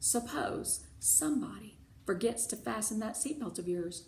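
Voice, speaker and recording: In a put-on character voice, a woman speaks gravelly and fairly high at a moderate pace over clear background noise. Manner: stern, blunt.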